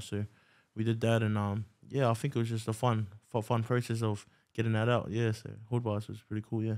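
Against a quiet background, a man talks at a medium pitch and a fairly quick pace in a monotone, flat intonation. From New Zealand. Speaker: rapper. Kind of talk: casual interview chat. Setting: podcast studio. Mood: relaxed, smiling, friendly. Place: studio. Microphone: studio mic.

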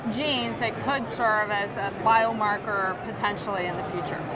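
Loud noise sits in the background as a woman talks at a moderate pace. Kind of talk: interview answer. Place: hall. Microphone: lapel.

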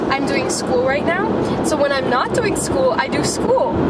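A woman at a fairly slow pace, dry sound with no echo, loud background noise behind her. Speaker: passenger vlogger. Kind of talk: casual vlog chat. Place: car. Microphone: phone near.

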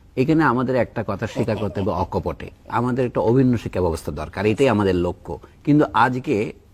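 Here is an unremarkable speaking voice from a man. He keeps a medium pitch with lively intonation. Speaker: academic commentator on education. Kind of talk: talk show discussion. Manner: formal.

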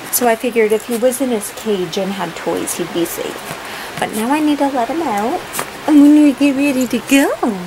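Through noticeable background noise, a woman with a high pitch speaks at a moderate pace, her intonation lively. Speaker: vlogger. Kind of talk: casual vlog chat. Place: home room. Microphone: phone near.

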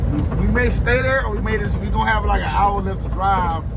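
Moderate pace under loud background noise. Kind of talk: casual vlog chat. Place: car. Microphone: phone near.

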